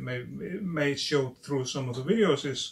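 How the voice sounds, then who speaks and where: A man speaks with an Icelandic accent. His voice sits at a medium pitch, and his pace is fairly slow. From Iceland, Westfjords. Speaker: fly tying channel host. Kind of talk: casual video intro talk. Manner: halting.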